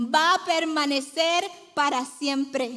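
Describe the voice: A woman's high-pitched voice with a fairly bright tone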